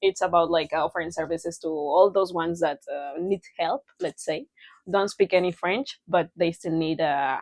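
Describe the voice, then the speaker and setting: Speaking with a Spanish accent, a woman keeps to a moderate pace. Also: fairly low pitch for a woman, ordinary pitch variation. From Mexico. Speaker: podcast co-host. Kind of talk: casual chat.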